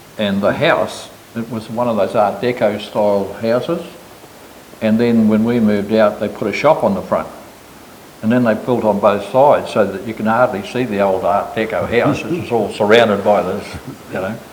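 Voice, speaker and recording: A man with a New Zealand accent speaks at medium pitch and moderate pace with fairly even intonation, with audible room echo and noticeable background noise. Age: 80s+. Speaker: business owner. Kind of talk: casual chat.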